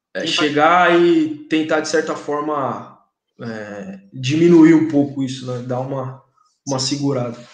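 Amid audible room echo, a man with a fairly high voice talks at a fairly slow pace, showing big swings in loudness and ordinary pitch variation. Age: 30s. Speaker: English teacher and content creator. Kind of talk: casual chat.

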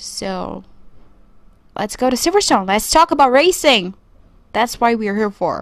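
A woman speaks at a moderate pace with a fairly high pitch. Her voice makes very wide pitch swings, broken by long, frequent pauses. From Brazil. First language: Portuguese. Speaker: podcast host. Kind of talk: solo podcast monologue. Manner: casual, conversational.

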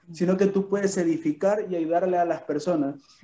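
Here a man speaks with a high pitch. His tone is dark and mellow, with ordinary pitch variation. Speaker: network marketing leader. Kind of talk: speaker introduction.

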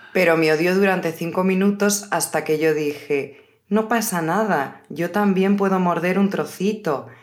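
Against audible room echo, a woman at medium pitch talks at a fairly slow pace with hardly any pauses, very even loudness and ordinary pitch variation. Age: 30s. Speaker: podcast host, Spanish teacher. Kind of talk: casual chat for language learners. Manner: slower than usual pace.

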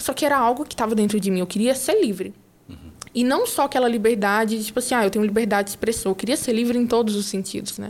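This woman talks very fast at a fairly high pitch. Her pitch variation is ordinary. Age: 20s. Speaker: entrepreneur. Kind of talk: casual interview.

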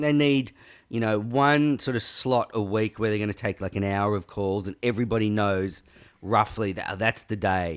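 A man with an Australian accent speaks at a moderate pace and a fairly low pitch, with ordinary pitch variation. The recording is very clean, with a silent background. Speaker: podcast guest, online show host. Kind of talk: casual chat.

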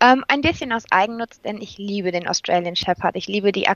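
A woman talks at a moderate pace with a medium pitch. She has a normal speaking voice with ordinary pitch variation. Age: 20s. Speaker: occupational therapy trainee with therapy dog. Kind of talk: interview.

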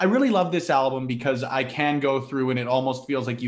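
Here is a man with a normal speaking voice and a medium pitch. He talks at a fairly quick pace with ordinary pitch variation. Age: 20s. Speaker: wrestling media creator. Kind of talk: casual chat.

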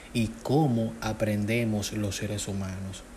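Intonation stays fairly even amid noticeable background noise and audible room echo. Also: man. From Dominican Republic. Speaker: podcast host, self-taught IT technician. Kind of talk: solo podcast talk on neuroscience and self-help. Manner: hesitant, with fillers.

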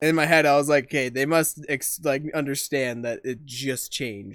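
Over a silent background in a very clean recording, a man talks at a moderate pace in an unremarkable speaking voice, medium in pitch with ordinary pitch variation. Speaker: podcast co-host. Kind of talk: casual banter. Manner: playful, joking.

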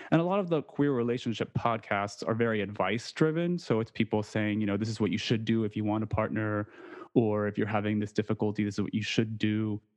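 A man with ordinary pitch variation over music in the background. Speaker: podcaster. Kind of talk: casual chat.

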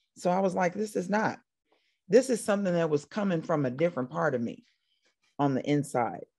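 Against a quiet background, a woman with an American accent talks at a fairly quick pace in a fairly low pitch, her tone dark and mellow, with very wide pitch swings and long, frequent pauses. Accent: slight country. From Indiana, US Midwest. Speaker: country singer-songwriter. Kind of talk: casual interview chat.

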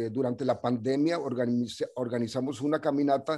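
A dark, mellow voice at a fairly slow pace, with ordinary pitch variation, on a very clean recording with a silent background. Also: man. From US-Mexico border, El Paso / Ciudad Juárez. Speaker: radio programmer and community activist. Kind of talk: casual interview.

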